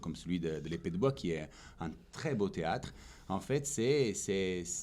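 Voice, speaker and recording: This man speaks with an Italian accent. His pitch swings very widely. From Italy. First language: Italian (speaking French). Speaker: stage actor. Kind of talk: interview. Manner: hesitant, many fillers.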